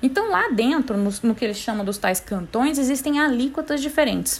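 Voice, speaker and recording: A woman's animated tone and lively intonation at a moderate pace, with noticeable background noise. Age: 30s. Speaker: podcast host, tax specialist. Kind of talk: casual explainer monologue.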